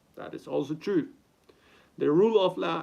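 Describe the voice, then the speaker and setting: This man has an Argentine accent. His pitch is high. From Argentina. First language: Spanish. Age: 30s. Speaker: content creator. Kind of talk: reading aloud with commentary. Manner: halting. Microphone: poor sound quality.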